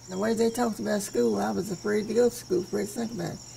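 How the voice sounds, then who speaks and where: There is noticeable background noise behind a woman as she speaks. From Western Kentucky. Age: 80s+. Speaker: folk artist, memory painter. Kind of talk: interview answer. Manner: regal elocution.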